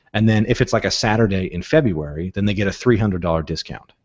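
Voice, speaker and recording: A man talks at a very fast pace. His pitch varies by an ordinary amount. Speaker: software tutorial host. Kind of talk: tutorial.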